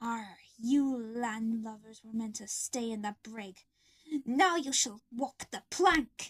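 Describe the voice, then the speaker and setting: Putting on a character voice, a woman talks at a fairly slow pace and a fairly high pitch. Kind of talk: pirate talk. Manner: sinister, menacing.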